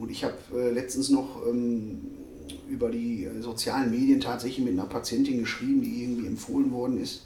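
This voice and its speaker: A man speaks at a fairly quick pace. Noticeable background noise and audible room echo come through. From Ruhr area, Germany. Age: 40s. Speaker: dentist. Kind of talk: casual interview. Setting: dental practice.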